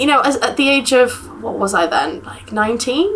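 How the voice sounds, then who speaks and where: A woman speaks with an English accent and lively intonation. Noticeable noise sits in the background. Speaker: university student. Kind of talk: casual interview.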